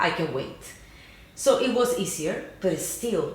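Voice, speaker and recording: A woman with a Cuban accent speaks at a moderate pace with lively intonation, with audible room echo and noticeable background noise. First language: Spanish. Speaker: YouTube channel co-host. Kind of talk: casual chat.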